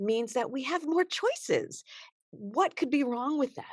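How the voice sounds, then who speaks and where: A woman speaks at a fairly slow pace in an animated tone, her pitch swinging very widely, in a dry, close recording with no echo. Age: 60s. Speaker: self-defense instructor.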